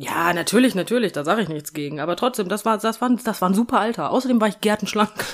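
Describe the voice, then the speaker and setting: Hardly pausing, a woman talks at a very fast pace in a fairly high voice with lively intonation. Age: 30s. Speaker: podcast co-host. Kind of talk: casual chat.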